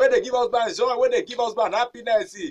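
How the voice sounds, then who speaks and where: In a Nigerian accent, a man speaks with an upbeat, animated tone. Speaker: radio presenter. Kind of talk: comedic radio show.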